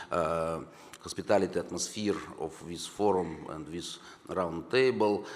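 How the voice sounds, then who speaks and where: With a Russian accent, a man speaks with ordinary pitch variation in a room with audible echo. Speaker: government deputy minister. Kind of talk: conference speech. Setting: conference hall. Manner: halting.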